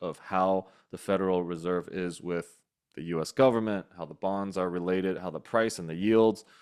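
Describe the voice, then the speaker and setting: Speaking at a moderate pace, a man uses a very deep, low pitch with ordinary pitch variation. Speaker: real estate investing community host. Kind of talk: online community call presentation.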